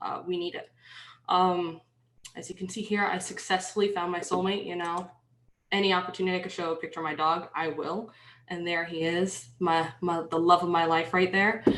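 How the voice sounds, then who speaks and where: At a moderate pace, a woman with a slight New York accent speaks in a fairly low pitch with monotone, flat intonation. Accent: slight New York accent, shows on some words. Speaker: penetration tester, conference workshop speaker. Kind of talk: workshop presentation. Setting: online video conference with screen share. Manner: dry, slightly sarcastic; hesitant, many fillers.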